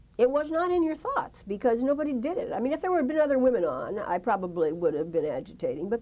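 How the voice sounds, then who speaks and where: Noticeable background noise sits behind a woman speaking with an American accent. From US West Coast. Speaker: retired broadcast journalist. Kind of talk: oral history interview. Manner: halting.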